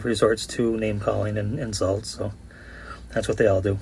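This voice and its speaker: A man speaks fairly quickly at a medium pitch. His is a plain, everyday voice. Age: 50s. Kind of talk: voice-over commentary.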